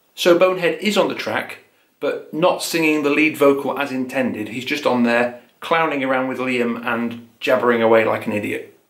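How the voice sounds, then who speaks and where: At a moderate pace, a man talks with ordinary pitch variation, the background quiet but the room echo audible. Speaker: music video essay host. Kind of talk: educational commentary.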